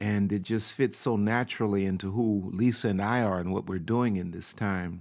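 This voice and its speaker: Speaking at a moderate pace with hardly any pauses, a man has a fairly low pitch. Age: 60s. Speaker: pastor and relationship speaker. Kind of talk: live-streamed talk to online audience. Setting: livestream. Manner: animated.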